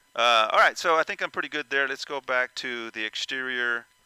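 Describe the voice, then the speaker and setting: In a dry, echo-free recording with a quiet background, a man at medium pitch speaks in a bright, sharp tone with ordinary pitch variation. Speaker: VR flight sim content creator. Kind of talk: tutorial. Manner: loud; halting, many fillers. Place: home room.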